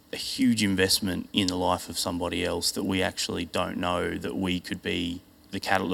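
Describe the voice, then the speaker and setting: A man's very deep, low voice at a moderate pace. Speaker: church member giving testimony. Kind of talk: testimony. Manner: casual, hesitant, fillers.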